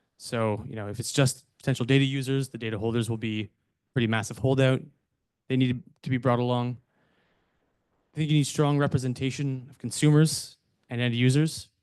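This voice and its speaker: A man with a Canadian accent speaks at a medium pitch and a fairly quick pace, with fairly even intonation. He takes long, frequent pauses. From Canada. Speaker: data consultant. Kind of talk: conference presentation.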